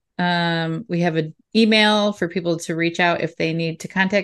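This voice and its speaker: A woman speaks at a moderate pace in a fairly low pitch. The background is quiet. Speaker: podcast host. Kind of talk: casual chat. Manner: laughs often, animated.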